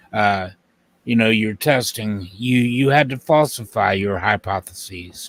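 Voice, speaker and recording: A man with a normal speaking voice, fairly low in pitch, at a fairly slow pace with ordinary pitch variation, recorded dry and close with no echo in a very clean recording against a silent background. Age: 60s. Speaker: creationist guest. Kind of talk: casual chat.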